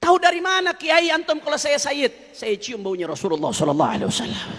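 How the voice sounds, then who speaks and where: A man is speaking. His tone is bright and sharp. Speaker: preacher. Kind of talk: religious sermon, storytelling to an audience.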